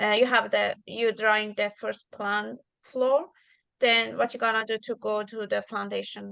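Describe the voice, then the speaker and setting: A woman speaks with a non-native accent over a quiet background. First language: not English. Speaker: drafting student. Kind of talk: casual questions in tutorial. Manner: halting.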